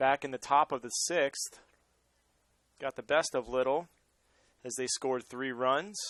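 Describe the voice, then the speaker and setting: Speaking with an American accent at a medium pitch, a man goes at a fairly slow pace with long, frequent pauses and ordinary pitch variation, the sound dry and close with no echo. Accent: Boston accent, occasionally brought out. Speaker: baseball play-by-play commentator. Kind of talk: live sports commentary.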